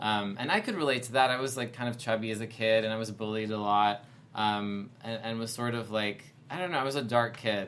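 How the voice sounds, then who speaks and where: Using an unremarkable speaking voice, a man of medium pitch talks at a fairly quick pace with fairly even intonation. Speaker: actor. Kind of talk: casual chat. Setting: studio.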